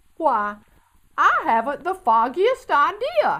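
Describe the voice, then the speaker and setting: Using a put-on character voice, a woman talks at a fairly slow pace in an extremely high pitch that swings very widely. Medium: read story. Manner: friendly, good-natured.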